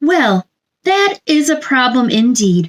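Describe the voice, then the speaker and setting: A woman puts on a character voice with a high pitch and very wide pitch swings. She speaks quietly at a fairly slow pace. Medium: read story. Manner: gentle, soothing.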